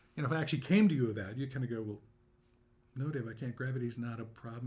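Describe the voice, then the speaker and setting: Somewhat breathy and very fast, a man with an American accent speaks at a medium pitch. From Southern California. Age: 60s. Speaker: university instructor and author. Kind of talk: interview conversation. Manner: animated.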